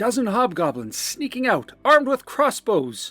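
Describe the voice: Faint music plays behind a man whose voice is high in pitch, fairly bright in tone with a slightly husky edge, swinging widely in pitch at a moderate pace.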